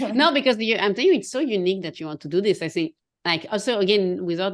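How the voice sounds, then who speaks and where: Against a quiet background, a woman talks at a very fast pace with lively intonation. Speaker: confidence coach. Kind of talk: casual chat.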